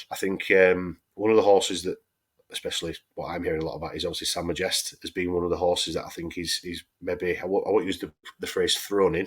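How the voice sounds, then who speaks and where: A man with a Yorkshire accent talks at a very fast pace. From Yorkshire, England. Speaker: horse racing podcast host. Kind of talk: casual chat.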